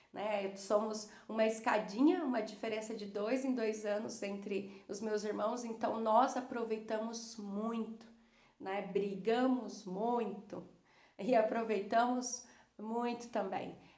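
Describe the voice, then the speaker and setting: Audible room echo surrounds a woman speaking at a very slow pace. Her voice is fairly high, with a monotone, flat intonation. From Brazil, Cuiabá, Mato Grosso. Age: 30s. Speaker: psychologist. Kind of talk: personal storytelling to viewers. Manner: hesitant, many fillers.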